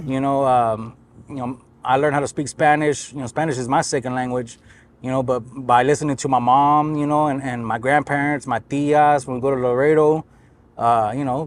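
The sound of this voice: Speaking at a fairly quick pace, a man keeps his medium-pitched voice to fairly even intonation.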